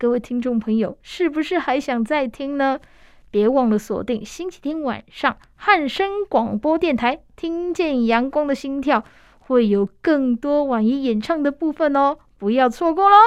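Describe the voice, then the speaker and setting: A woman with a Taiwanese accent speaks at a fairly slow pace in a high pitch, her tone warm and animated and her intonation lively. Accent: Taiwanese Mandarin. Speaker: radio host. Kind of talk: radio interview. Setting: radio studio. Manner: warm, animated, laughs often.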